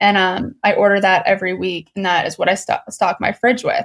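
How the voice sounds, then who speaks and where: A woman's plain, everyday voice at a medium pitch and a fairly quick pace. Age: 20s. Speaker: entrepreneur. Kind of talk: casual chat.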